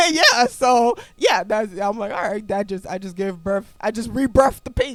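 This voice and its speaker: A woman's animated voice with ordinary pitch variation and big swings in loudness. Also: fairly high pitch for a woman, moderate pace. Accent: Liberian. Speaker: podcast host. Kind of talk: casual chat.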